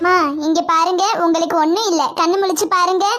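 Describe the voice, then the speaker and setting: Over light background noise, a woman does a put-on character voice at an extremely high pitch, keeping a monotone, flat intonation and a moderate pace. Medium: voice reel. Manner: caring, reassuring.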